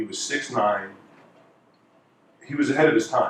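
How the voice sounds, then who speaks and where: Noticeable background noise surrounds a man. He talks at a moderate pace with a New York accent. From New York (Queens). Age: 50s. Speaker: former college basketball player and basketball analyst. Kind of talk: speech.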